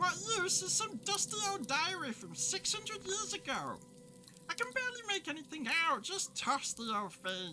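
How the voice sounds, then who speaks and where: A squeaky, high-pitched put-on character voice at a moderate pace, with clear background noise. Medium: audio drama. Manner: chatty, flippant.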